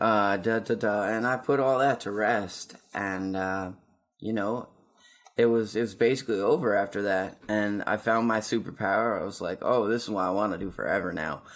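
This man has an ordinary speaking voice, fairly low in pitch, with ordinary pitch variation at a moderate pace. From Nova Scotia, Canada. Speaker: rapper. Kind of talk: casual chat.

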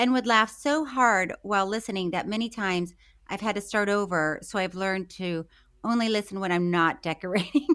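Someone reads aloud in a natural voice, with ordinary pitch variation.

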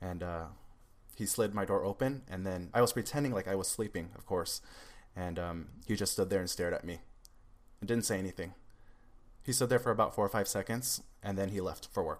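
A fairly low-pitched man with a West Coast US accent, a fairly quick pace, ordinary pitch variation and long, frequent pauses, on a very clean recording with a silent background. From Seattle, Washington. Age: 20s. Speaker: musician and YouTuber. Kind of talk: casual interview chat.

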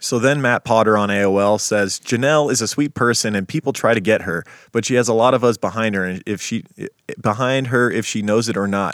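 In a very clean recording with a silent background and a dry, close sound with no echo, an unremarkable speaking voice moves at a fairly quick pace with ordinary pitch variation. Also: man, medium pitch for a man. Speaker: podcast host. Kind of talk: casual chat, storytelling. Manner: casual, profane.

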